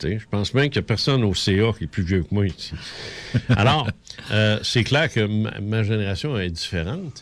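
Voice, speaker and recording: In a Quebec accent, a man speaks at a moderate pace with a fairly low pitch and lively intonation. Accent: Québécois French. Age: 60s. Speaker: radio host. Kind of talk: casual chat. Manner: halting.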